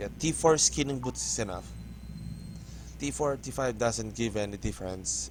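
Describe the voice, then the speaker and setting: A man with a Filipino accent, his very deep, low voice swinging very widely in pitch, long and frequent pauses, music playing in the background. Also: moderate pace. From Philippines. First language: not English. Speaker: gaming YouTuber. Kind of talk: gameplay tutorial. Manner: halting.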